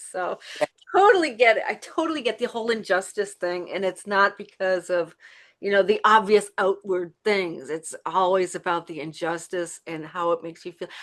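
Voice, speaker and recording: An unremarkable speaking voice from a woman, medium in pitch with ordinary pitch variation, at a moderate pace with big swings in loudness, over a quiet background. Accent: American. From East Coast US. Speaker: talk show host.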